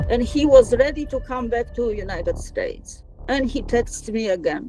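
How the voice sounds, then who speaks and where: A woman with a Polish accent speaks at a moderate pace over music in the background. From Poland. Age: 60s. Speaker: scam victim. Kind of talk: testimony.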